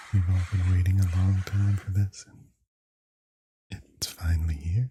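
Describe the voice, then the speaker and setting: A soft-spoken man's very deep, low voice, somewhat breathy and relaxed in tone, at a fairly slow pace with monotone, flat intonation and big swings in loudness. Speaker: ASMR content creator. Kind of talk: ASMR unboxing, casual talk to camera. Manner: soft-spoken, slow, relaxed.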